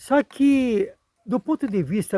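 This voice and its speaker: A man speaks in a dark, mellow tone. The recording is very clean, with a silent background and a dry, close sound with no echo. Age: 70s. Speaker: retired geography teacher. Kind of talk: video commentary monologue. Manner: formal.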